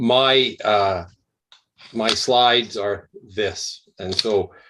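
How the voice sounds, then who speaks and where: Here a man speaks with a Canadian accent. His pitch is medium. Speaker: emergency medicine professor. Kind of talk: lecture. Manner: slow, articulate.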